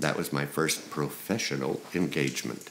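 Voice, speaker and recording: A man is speaking. His pace is fairly slow. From South Dakota. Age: old. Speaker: crooner. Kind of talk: interview answer.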